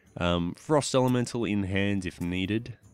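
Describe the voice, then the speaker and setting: Recorded very cleanly against a silent background, a man with an Australian accent speaks at a fairly low pitch with lively intonation. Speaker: gaming YouTuber. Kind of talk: casual gameplay commentary.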